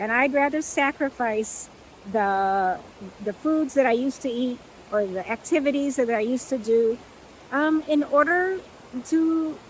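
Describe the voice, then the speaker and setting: A woman's high voice at a moderate pace, with ordinary pitch variation, long, frequent pauses and noticeable background noise. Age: 60s. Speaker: plant-based lifestyle coach. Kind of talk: talking-head video monologue. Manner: conversational, with frequent fillers.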